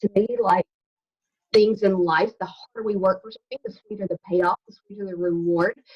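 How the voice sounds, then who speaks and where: A Southern US accent at a moderate pace, with fairly even intonation and big swings in loudness. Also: woman, medium pitch for a woman. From US South, Alabama. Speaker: health coach. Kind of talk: casual chat.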